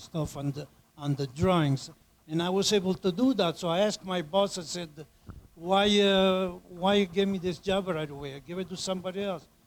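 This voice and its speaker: A man speaks at a fairly quick pace in a high voice. His pitch varies in an ordinary way. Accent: Italian. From Italy. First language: Italian. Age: 80s+. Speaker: immigrant panelist. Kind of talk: personal testimony. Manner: halting.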